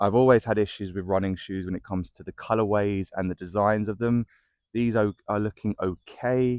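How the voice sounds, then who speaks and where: A man with a British accent speaks at a moderate pace and fairly low pitch, with fairly even intonation, in a dry, close sound with no echo against a quiet background. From UK. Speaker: running shoe reviewer. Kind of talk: product review. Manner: casual, hesitant with fillers.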